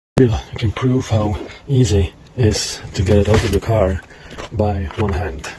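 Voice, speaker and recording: A man speaks at a fairly slow pace with a fairly low pitch, ordinary pitch variation, and long, frequent pauses. Noticeable background noise runs beneath his voice. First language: Czech. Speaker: product tester, outdoor enthusiast. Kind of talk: casual vlog-style product review. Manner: halting, many fillers.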